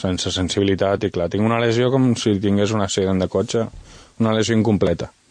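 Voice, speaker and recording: Delivered at a fairly quick pace, an ordinary speaking voice keeps its intonation fairly even. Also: man. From Valencian Community (Vinaròs), raised in Catalonia. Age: 30s. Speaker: author and wheelchair user. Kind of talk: radio interview.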